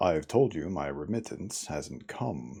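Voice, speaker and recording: A man uses a put-on character voice with a very deep, low pitch. He goes at a fairly slow pace. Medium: read story. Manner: haughty, irascible.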